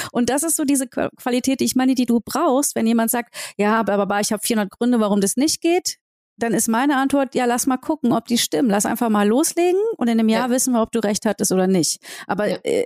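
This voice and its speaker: A woman speaks at a very fast pace and high pitch, her loudness very even, in a dry, close sound with no echo. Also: ordinary pitch variation. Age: 40s. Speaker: entrepreneur and singer. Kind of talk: interview. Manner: casual.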